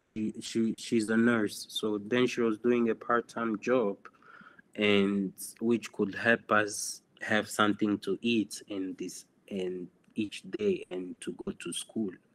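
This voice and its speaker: Very slow speech from a man with a Congolese accent, medium pitch and ordinary pitch variation, in a dry, close sound with no echo. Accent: Congolese francophone English. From DR Congo (Goma). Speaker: photographer. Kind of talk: interview. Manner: halting.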